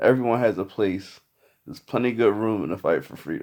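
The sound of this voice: A put-on character voice, hoarse and croaky, moves at a fairly quick pace with ordinary pitch variation. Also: man.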